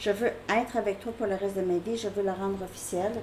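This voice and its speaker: A woman talks at a moderate pace and medium pitch. Background noise is noticeable. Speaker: tarot reader. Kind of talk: tarot reading. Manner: casual, hesitant with fillers.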